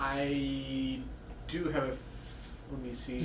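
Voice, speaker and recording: A put-on character voice comes through at a fairly slow pace, with a slight echo and loud background noise behind it. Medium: actual play. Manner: hesitant, polite.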